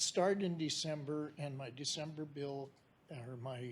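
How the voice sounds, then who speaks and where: The voice belongs to a man and sounds somewhat breathy. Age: 70s. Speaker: member of the public, retired engineer. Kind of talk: public comment at a meeting. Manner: halting.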